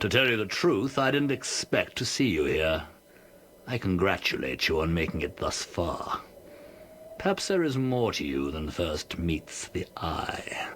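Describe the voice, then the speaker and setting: Putting on a character voice, a man speaks in a smug tone at a moderate pace with a fairly low pitch over clear background noise. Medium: video game. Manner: smug, condescending.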